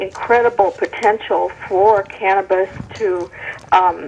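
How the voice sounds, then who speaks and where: A woman speaks at medium pitch in a monotone, flat intonation. Background noise is noticeable. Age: 60s. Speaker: caller. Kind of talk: call-in comment.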